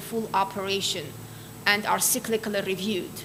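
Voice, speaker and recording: A woman with an Armenian accent speaks amid noticeable background noise, with audible room echo. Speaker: quality assurance expert. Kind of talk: lecture.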